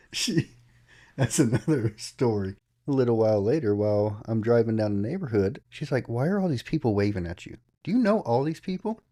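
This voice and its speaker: A man with a Southern US accent, medium-pitched and fairly quick, his dark, mellow tone carried by lively intonation. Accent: Southern US country. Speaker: podcast co-host. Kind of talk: casual chat. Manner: animated.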